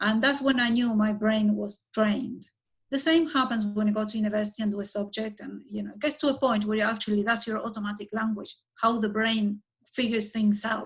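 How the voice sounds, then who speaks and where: Talking at a fairly quick pace, a woman has a fairly high pitch, a somewhat breathy voice, fairly even intonation and big swings in loudness. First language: Spanish. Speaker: architect and urban planner. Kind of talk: conversational interview.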